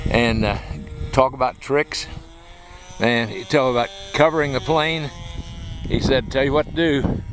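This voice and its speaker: A man speaks at a moderate pace with a medium pitch and ordinary pitch variation, leaving long, frequent pauses. There is noticeable background noise. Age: 70s. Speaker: hobby club president and videographer. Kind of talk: casual narration behind the camera.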